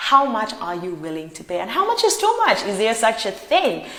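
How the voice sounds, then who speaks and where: A woman's animated, fairly high voice at a fairly quick pace, with noticeable background noise and audible room echo. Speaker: pop culture vlogger. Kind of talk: celebrity gossip vlog.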